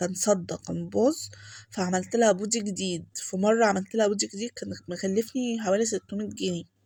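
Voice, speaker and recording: A soft-spoken woman with an Egyptian accent talks at a moderate pace. Her dark, mellow voice is somewhat breathy, with fairly even intonation. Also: medium pitch for a woman. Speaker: home vlogger. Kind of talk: voice-over vlog narration. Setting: home, recorded voice-over. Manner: soft-spoken, lowered voice.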